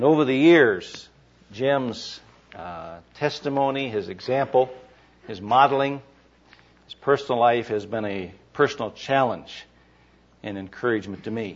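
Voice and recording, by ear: Pitch moves in an ordinary way. The speaker keeps a fairly slow pace. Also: man, medium pitch for a man.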